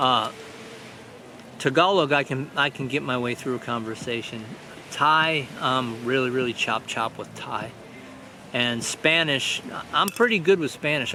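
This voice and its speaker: A man with a Midwestern American accent talks at a medium pitch. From Michigan, near Detroit. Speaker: vlogger. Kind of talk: casual vlog monologue. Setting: outdoors on a beach.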